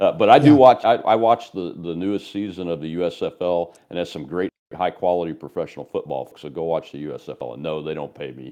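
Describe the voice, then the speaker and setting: With hardly any pauses, a man speaks in a very deep, low pitch with a dark, mellow tone and lively intonation. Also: moderate pace, quiet background. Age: 60s. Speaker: podcast host and military retiree. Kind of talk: casual interview chat. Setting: studio with TV camera.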